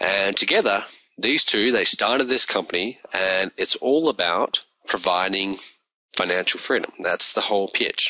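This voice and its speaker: A man speaks with an Australian accent at a moderate pace. His loudness is very even, and the sound is dry and close with no echo. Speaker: online business reviewer. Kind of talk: video review monologue. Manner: casual.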